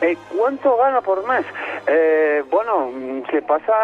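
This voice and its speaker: A man's fairly high voice. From Spain. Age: 30s. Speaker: caller living in Spain. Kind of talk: phone interview. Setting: phone call from the street.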